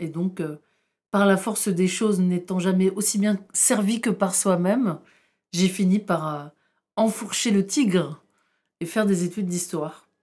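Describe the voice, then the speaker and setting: Her medium-pitched voice has a dark, mellow tone as the woman speaks at a fairly slow pace with ordinary pitch variation. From northern France, Tourcoing. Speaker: historian. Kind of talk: interview.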